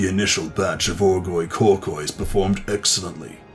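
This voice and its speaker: Clear music plays behind a man at a moderate pace. His put-on character voice is very deep and low. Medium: solo performance. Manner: nervous, rambling.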